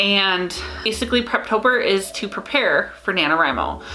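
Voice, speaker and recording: A woman speaks at a medium pitch with an American accent and ordinary pitch variation. Noticeable background noise and audible room echo fill the recording. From US Midwest, Minnesota. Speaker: writing vlogger. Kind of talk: casual vlog talk. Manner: casual, hesitant with fillers.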